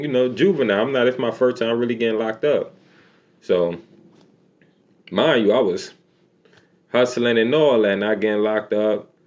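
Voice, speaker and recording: The speaker talks at a fairly quick pace in a New York accent, with an animated tone. Pitch varies in an ordinary way. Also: man. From New York City. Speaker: YouTuber telling life stories. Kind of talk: storytime monologue. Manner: casual, animated.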